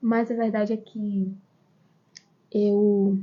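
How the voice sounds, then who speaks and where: Soft-spoken and somewhat breathy, a woman talks in a fairly high pitch. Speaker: online course teacher. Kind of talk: live stream lesson. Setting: outdoors in backyard. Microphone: quiet sound.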